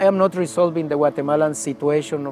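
Clear music plays in the background as a man speaks at a moderate pace, the sound dry with no echo. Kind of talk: interview answer. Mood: reflective, emotional story. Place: garden. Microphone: lapel.

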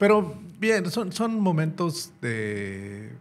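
A man's voice with very wide pitch swings. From Mexico. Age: 60s. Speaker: former military officer and police chief; podcast guest. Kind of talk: interview. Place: studio. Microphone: studio mic.

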